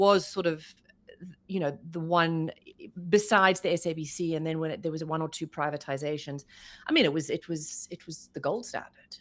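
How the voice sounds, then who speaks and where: At a moderate pace, the speaker uses fairly even intonation with a South African accent. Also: woman, fairly low pitch for a woman. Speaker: journalist, former news anchor. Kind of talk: interview answer.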